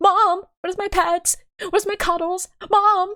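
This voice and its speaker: A woman does a squeaky put-on character voice. Her pitch is extremely high, and her pace is moderate. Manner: whiny, needy.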